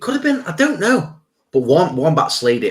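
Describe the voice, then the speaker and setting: A man talks with a Stoke accent. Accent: Stoke accent, often mistaken for Scouse. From English Midlands, Stoke-on-Trent. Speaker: YouTube reaction channel host. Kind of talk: live stream Q&A, reading chat. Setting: live stream. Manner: casual, energetic.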